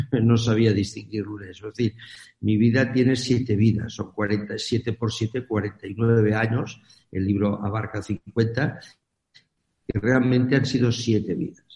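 Speaking at a very slow pace, a man has a somewhat breathy voice with a dark, mellow tone. His pitch is medium. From Catalonia, Spain. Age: 70s. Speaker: business executive and author. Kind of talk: interview.

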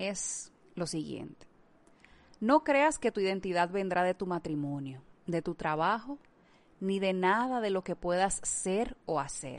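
A woman at medium pitch, fairly slow, with lively intonation. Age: 30s. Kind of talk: devotional talk.

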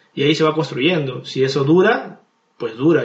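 A fairly high, somewhat breathy male voice moves at a fairly quick pace. His pitch variation is ordinary. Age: 30s. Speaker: podcast guest. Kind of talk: casual debate.

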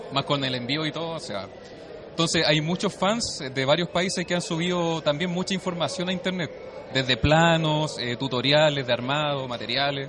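There is noticeable background noise behind a man's fairly high voice. He talks at a moderate pace with ordinary pitch variation. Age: 30s. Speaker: costumed fan. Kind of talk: street interview.

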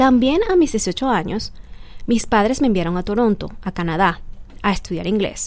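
Her tone is dark and mellow, her pitch fairly high for a woman. She speaks at a moderate pace with lively intonation. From Venezuela (Barquisimeto). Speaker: podcast host, immigration advisor. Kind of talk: scripted narration.

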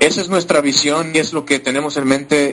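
Man's voice at a fairly high pitch and moderate pace, with noticeable background noise. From Mexico. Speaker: compensation plan analyst. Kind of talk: business presentation. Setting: online conference.

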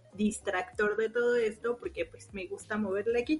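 Fairly high female voice with noticeable background noise. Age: 20s. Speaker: podcast co-host. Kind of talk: casual chat. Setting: recording from home.

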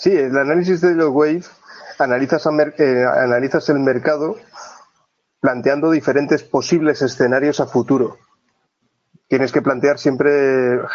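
He speaks at a moderate pace. The man's pitch is fairly high, his intonation fairly even. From Asturias, northern Spain. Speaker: trader. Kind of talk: interview.

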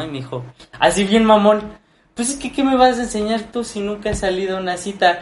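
A somewhat breathy man's voice with a Mexican accent. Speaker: podcast co-host. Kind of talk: casual chat.

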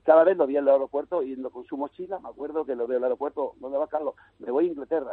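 This man's voice sits fairly high in pitch. He talks at a very fast pace. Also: fairly even intonation. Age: 60s. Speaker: youth football coach. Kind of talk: radio interview.

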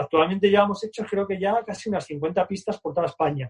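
Dry and close with no echo, a man's high-pitched voice runs at a fairly quick pace. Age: 50s. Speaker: BMX club founder and coach. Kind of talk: casual interview.

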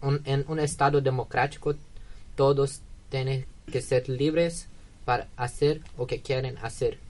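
With a Portuguese accent, a man speaks very slowly in a somewhat breathy, fairly high voice, his intonation monotone and flat and his pauses long and frequent. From Brazil, Minas Gerais. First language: Portuguese (speaking Spanish). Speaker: exchange student. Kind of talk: radio interview. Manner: halting.

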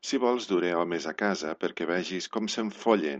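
A man's very deep, low voice, fairly slow, with lively intonation. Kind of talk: dramatic narration of a short story, read aloud. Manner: intense, charged storytelling that builds with the plot.

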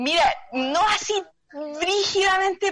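A woman with a Chilean accent speaks with lively intonation. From San Antonio, Chile. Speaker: member of parliament. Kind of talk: interview.

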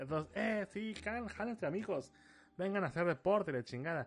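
A man talks at a fairly quick pace. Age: 30s. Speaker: podcast host. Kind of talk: casual solo podcast monologue.

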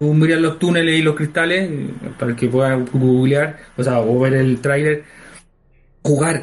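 Speaking at a fairly slow pace with long, frequent pauses, a man keeps a fairly high pitch, very even loudness and fairly even intonation. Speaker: art director and game creator. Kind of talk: casual chat. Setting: home recording. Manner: halting.

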